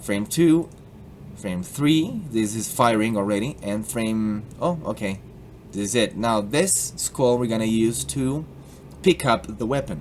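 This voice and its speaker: With lively intonation, a man speaks at a fairly slow pace amid noticeable background noise. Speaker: YouTube tutorial maker. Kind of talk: tutorial. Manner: animated, playful.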